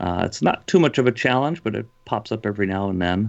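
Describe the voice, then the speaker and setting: A man speaks in an Upper Midwest accent at a very deep, low pitch. His pace is moderate. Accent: Upper Midwest (Minnesota). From Minnesota, dairy farm. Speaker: pastor. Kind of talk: casual interview.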